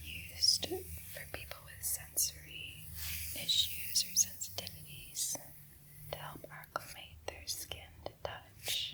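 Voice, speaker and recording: A woman's whisper creeps along at a very slow pace against noticeable background noise. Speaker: ASMR creator and host. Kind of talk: casual talk to camera, describing ASMR tools.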